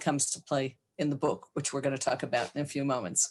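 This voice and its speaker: A woman talks with an American accent. The background is quiet. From United States. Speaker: psychologist, author. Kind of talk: podcast interview.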